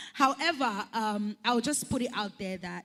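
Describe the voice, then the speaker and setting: A woman talks in an animated tone with ordinary pitch variation. Her voice is somewhat breathy. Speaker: event host. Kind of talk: panel interview.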